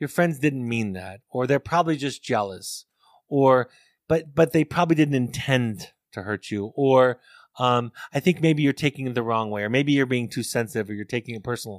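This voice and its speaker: A man with an American accent talks at a moderate pace with ordinary pitch variation in an unremarkable speaking voice, recorded dry and close with no echo. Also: medium pitch for a man. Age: 50s. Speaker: family therapist and author. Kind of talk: interview. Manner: repeats words when thinking.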